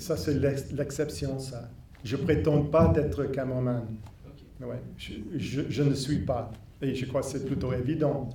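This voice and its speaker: A man speaks at a fairly slow pace, leaving long, frequent pauses, with ordinary pitch variation. Noticeable background noise and audible room echo fill the recording. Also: medium pitch for a man. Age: 60s. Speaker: filmmaker. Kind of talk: post-screening Q&A. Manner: halting.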